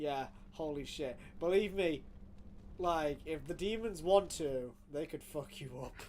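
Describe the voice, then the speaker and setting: A man with a British accent and an animated tone, ordinary pitch variation, a fairly slow pace and long, frequent pauses. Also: fairly high pitch for a man. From Britain. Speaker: video game streamer. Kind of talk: casual live stream chat. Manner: animated, swearing outbursts. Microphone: audio level problems, being adjusted.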